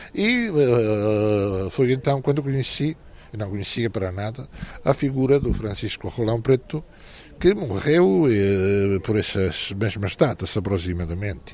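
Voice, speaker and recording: Here a man with a Galician accent speaks at a fairly slow pace. His fairly low voice carries lively intonation. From Galicia, Spain. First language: Galician (speaking Portuguese). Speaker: novelist. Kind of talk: interview. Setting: literary festival. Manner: halting.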